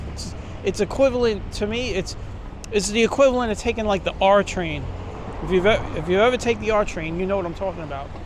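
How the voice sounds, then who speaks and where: Over noticeable background noise, a high-pitched man with a Brooklyn accent talks very fast with ordinary pitch variation. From New York City, Brooklyn. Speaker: walking tour vlogger. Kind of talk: walking tour commentary. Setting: outdoors, city streets. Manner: casual, conversational.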